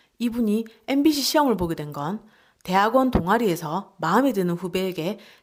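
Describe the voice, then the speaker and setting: A woman speaks at a medium pitch and a moderate pace, with very wide pitch swings. The recording is very clean, with a silent background. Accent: strong Gyeongsang. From Gyeongsang region, South Korea. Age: 40s. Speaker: book reviewer. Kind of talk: book review narration.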